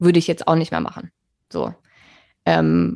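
The sound of a woman's voice is dry and close, without any echo. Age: 30s. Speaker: podcast host. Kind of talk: casual chat. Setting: video call.

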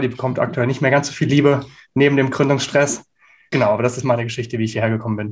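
This man's voice sits fairly high with ordinary pitch variation. He talks at a very fast pace. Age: 20s. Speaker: startup founder. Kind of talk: interview. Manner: hesitant with frequent fillers.

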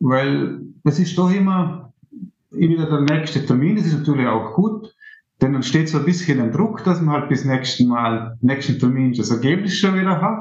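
Lively intonation from a man with a fairly high pitch, at a moderate pace. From Austria, Vorarlberg (Montafon). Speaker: amateur musician and composition student. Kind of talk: interview. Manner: halting.

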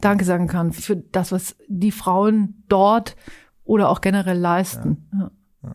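A woman speaks at a very slow pace with monotone, flat intonation. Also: medium pitch for a woman. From Switzerland (Zurich), German-speaking family. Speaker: charity executive. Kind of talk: podcast interview.

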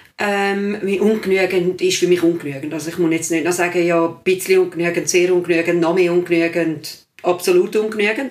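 Over noticeable background noise, a woman with a fairly low voice speaks with fairly even intonation and hardly any pauses. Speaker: secondary school teacher. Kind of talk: casual chat.

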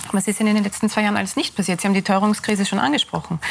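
Behind the woman there is noticeable background noise. Her pitch is in the middle range. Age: 40s. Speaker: think tank director. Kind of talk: TV panel discussion. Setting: TV studio.

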